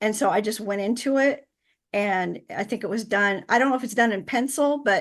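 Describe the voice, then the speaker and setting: With an American accent, a woman talks at a fairly quick pace in a fairly high pitch, using ordinary pitch variation against a quiet background. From central Illinois, US Midwest. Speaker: author and insurance professional. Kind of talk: interview. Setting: podcast. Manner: hesitant with fillers.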